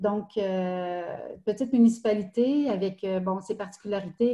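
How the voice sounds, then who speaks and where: A somewhat breathy woman's voice of medium pitch with fairly even intonation. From Quebec, Estrie. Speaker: municipal recreation director. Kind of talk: interview. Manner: halting.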